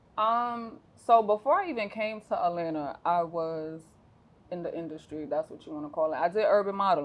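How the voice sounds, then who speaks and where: A woman with an American accent speaks at a moderate pace and a medium pitch. Her intonation is lively, with big swings in loudness. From New York, the Bronx. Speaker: entrepreneur, realtor and former reality TV personality. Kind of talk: interview conversation. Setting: studio, sitting next to host. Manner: laid back and chill.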